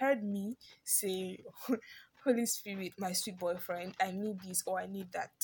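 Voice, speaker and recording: A woman speaks slowly, though only fairly so, in a somewhat breathy voice. Her pitch is medium, with ordinary variation. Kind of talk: informal sermon. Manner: animated.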